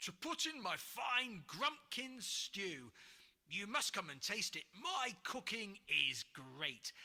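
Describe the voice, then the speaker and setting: A put-on character voice at a middle pitch, with very wide pitch swings. It moves at a very slow pace. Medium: read story. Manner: hearty.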